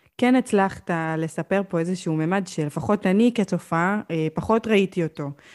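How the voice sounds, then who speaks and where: A woman's ordinary speaking voice at medium pitch, with ordinary pitch variation and a dry, close sound with no echo. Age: 20s. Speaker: podcast host. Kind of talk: interview. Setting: video call.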